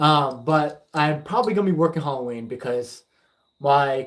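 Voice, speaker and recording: This man's fairly high pitch carries ordinary pitch variation at a moderate pace. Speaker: paranormal investigator and livestream host. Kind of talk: casual livestream chat reading viewer comments. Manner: halting, many fillers.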